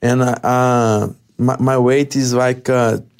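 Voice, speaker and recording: At a very slow pace, a man with a Brazilian accent speaks at medium pitch. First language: Portuguese. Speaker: mixed martial arts fighter. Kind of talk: interview. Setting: studio. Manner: halting.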